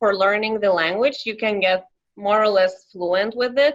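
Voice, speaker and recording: A woman speaks with a Lithuanian accent at a medium pitch. Her pace is fairly slow and her intonation fairly even. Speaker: young professional. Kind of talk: interview. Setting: podcast.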